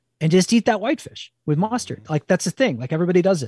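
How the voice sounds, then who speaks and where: In an East Coast US accent, a man speaks with a dark, mellow tone and lively intonation, in a very clean recording with a silent background and a dry, close sound with no echo. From New Jersey, near New York. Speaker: cookbook author and wild food cook. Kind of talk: interview.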